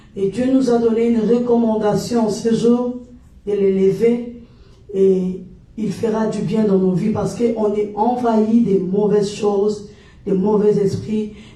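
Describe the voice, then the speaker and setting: A woman with a Congolese accent at a very slow pace, in a monotone, flat intonation, with audible room echo. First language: Lingala (speaking French). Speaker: gospel worship leader. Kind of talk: worship livestream exhortation. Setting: livestream.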